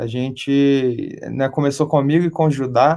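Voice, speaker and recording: A man speaks at a fairly high pitch. His intonation is flat and monotone. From Brazil, Belo Horizonte (Minas Gerais). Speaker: rock band vocalist. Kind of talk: interview.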